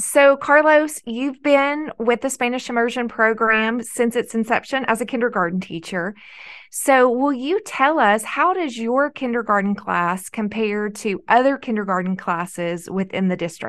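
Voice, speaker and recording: A woman talks in a normal speaking voice, fairly high in pitch, at a moderate pace. Her intonation is lively, and the background is quiet. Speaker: podcast host, education coordinator. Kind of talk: interview.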